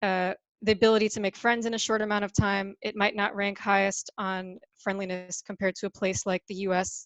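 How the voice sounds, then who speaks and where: A woman with an American accent talks fairly quickly at a medium pitch, in a monotone, flat delivery with hardly any pauses. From US, New York. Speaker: startup ecosystem representative. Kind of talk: webinar interview.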